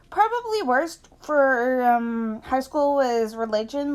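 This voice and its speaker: A woman speaks at a very slow pace. Her voice is high in pitch, with ordinary pitch variation. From Canada. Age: 20s. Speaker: YouTuber. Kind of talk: casual livestream Q&A. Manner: hesitant, many fillers.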